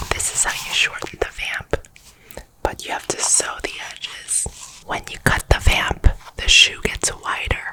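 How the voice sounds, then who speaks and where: Over noticeable background noise comes a whisper at a fairly slow pace. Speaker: pointe shoe fitter. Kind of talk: ASMR tutorial. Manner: whispering.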